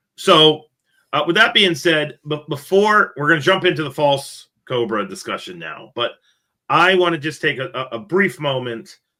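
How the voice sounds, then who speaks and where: A man's fairly high voice with vocal fry and lively intonation, at a moderate pace. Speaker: podcast host, reptile keeper. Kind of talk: casual podcast discussion. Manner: casual, filler-heavy with repetitions.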